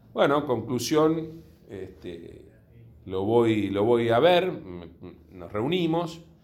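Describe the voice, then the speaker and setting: A man at medium pitch, very slow pace, very wide pitch swings and big swings in loudness, with audible room echo. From Buenos Aires, Argentina (Villa Urquiza). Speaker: insurance company executive. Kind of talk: interview.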